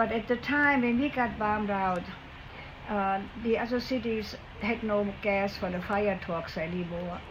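A woman with a German accent speaks at a fairly slow pace, with audible room echo. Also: medium pitch for a woman, ordinary pitch variation. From Germany, Siegen (Westphalia). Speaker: war survivor. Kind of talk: interview, personal storytelling. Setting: at a ranch home. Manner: halting.

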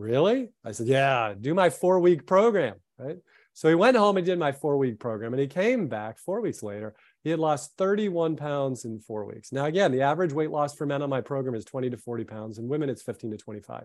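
Someone with an American accent speaks in a normal speaking voice at a fairly quick pace, with lively intonation and big swings in loudness against a quiet background. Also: man, fairly high pitch for a man. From South Florida. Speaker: sports medicine doctor. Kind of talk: presentation with slides. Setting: video call with screen share.

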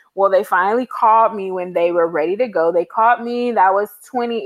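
At a moderate pace, a woman talks in an unremarkable speaking voice, medium in pitch, recorded with a dry, close sound and no echo. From Los Angeles, California. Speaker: travel blogger. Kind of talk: casual interview.

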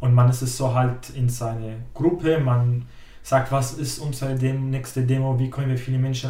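With an Arabic accent, a man talks at a moderate pace and a medium pitch in a monotone, flat intonation. Audible room echo surrounds the voice. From Syria. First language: Arabic (speaking German). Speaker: climate activist, trainee educator. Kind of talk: interview.

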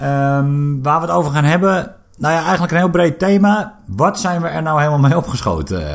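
Delivered at a fairly quick pace, the speech comes in a plain, everyday voice. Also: man, fairly high pitch for a man, ordinary pitch variation. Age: 30s. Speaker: podcast co-host. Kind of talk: casual chat. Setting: studio.

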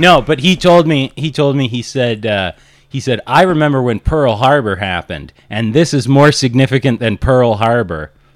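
A man with a plain, everyday voice speaks at a moderate pace and medium pitch, using lively intonation. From Kelowna, Canada. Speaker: stand-up comedian. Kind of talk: casual chat.

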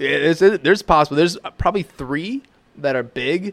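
A plain, everyday voice at a fairly quick pace with lively intonation. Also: man. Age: 20s. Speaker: podcast co-host. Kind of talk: casual chat. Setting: home kitchen studio.

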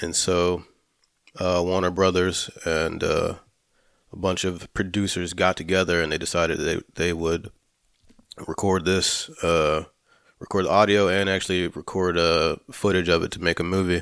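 A man with a very deep, low pitch talks at a moderate pace in a monotone, flat intonation, in a very clean recording with a silent background. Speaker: film podcast co-host. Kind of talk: casual chat. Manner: hesitant, filler-heavy.

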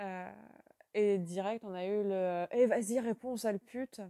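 A woman's medium-pitched voice, dark and mellow in tone, with fairly even intonation, a very slow pace and a dry, close sound with no echo. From western France. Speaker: contributor sharing testimony. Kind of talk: voice message testimony.

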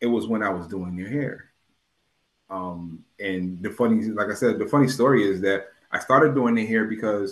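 A man with an American accent speaks in a normal speaking voice at a moderate pace. His pitch is fairly low, his intonation fairly even. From US Northeast, New Haven, Connecticut. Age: 40s. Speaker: poet laureate and nurse. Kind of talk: interview.

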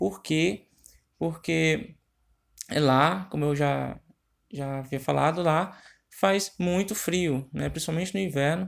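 In a very clean recording with a silent background, a man talks at a very slow pace with lively intonation. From Ceará, northeastern Brazil. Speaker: marketing tips presenter. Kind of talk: informal marketing tutorial. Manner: halting, with many filler hesitations.

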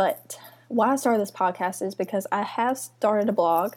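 The voice carries a Mississippi accent with ordinary pitch variation. The recording is very clean, with a silent background. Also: woman. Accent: Southern US (Mississippi). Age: 20s. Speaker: podcast host and lifestyle blogger. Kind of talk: casual chat. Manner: animated.

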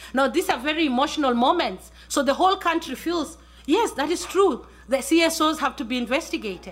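A woman speaks with lively intonation at a high pitch. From Kenya. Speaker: journalist. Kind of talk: panel talk.

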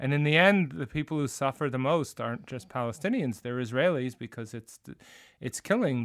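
A man with an American accent speaks at a medium pitch. The recording is very clean, with a silent background. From New Jersey. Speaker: history professor and musician. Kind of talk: casual chat.

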